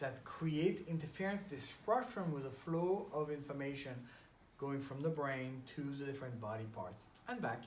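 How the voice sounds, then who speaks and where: A man's fairly high voice with lively intonation at a moderate pace, audible room echo around it. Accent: French. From France. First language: French. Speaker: chiropractor. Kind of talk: casual interview.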